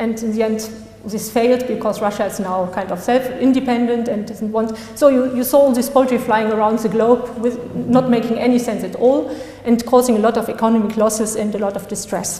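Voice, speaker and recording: A woman with a non-native accent speaks at a fairly quick pace and a fairly high pitch in a monotone, flat intonation. Audible room echo and noticeable background noise fill the recording. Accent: non-native pronunciation. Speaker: law graduate and article author. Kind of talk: conference talk. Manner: halting.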